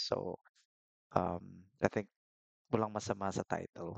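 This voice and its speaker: A quiet man at a fairly low pitch and moderate pace, monotone and flat, in a dry, close sound with no echo. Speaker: YouTuber reacting to videos. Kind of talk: reaction commentary. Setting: home at night.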